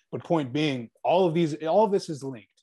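Against a quiet background, a man with an American accent speaks at a moderate pace in a dark, mellow tone with ordinary pitch variation. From Virginia, US. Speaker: web show host. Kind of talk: interview. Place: office. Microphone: earbuds.

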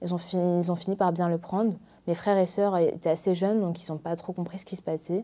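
A woman with a fairly low pitch and a dark, mellow tone talks at a moderate pace in a monotone, flat intonation. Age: 20s. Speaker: medical student. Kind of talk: interview testimony. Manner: hesitant, many fillers. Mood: calm, reflective about her illness. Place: studio.

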